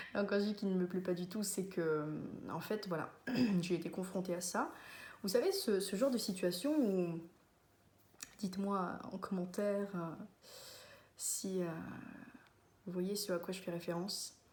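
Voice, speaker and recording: Somewhat breathy and medium in pitch, a woman speaks fairly slowly with ordinary pitch variation and long, frequent pauses, in a room with audible echo. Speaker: vlogger. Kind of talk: casual monologue to camera. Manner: hesitant, many fillers.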